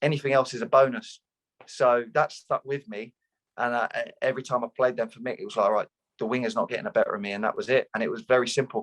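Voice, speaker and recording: A man speaks at a very fast pace with a southeast English accent. The sound is dry and close, with no echo. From Luton, southeast England. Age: 30s. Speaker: retired footballer. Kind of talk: interview.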